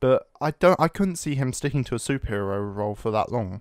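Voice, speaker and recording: A man with a British accent speaks at a fairly quick pace, his intonation lively. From Britain. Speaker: podcast co-host. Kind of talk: casual chat. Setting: Skype call.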